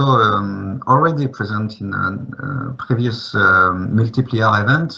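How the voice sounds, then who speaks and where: Noticeable background noise surrounds a man who speaks fairly slowly with ordinary pitch variation. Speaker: geoscience researcher. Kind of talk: conference presentation. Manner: hesitant, many fillers.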